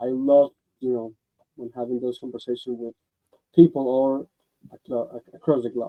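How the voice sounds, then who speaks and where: The voice carries a Spanish accent. Its pace is fairly quick. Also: man. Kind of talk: radio interview. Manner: halting.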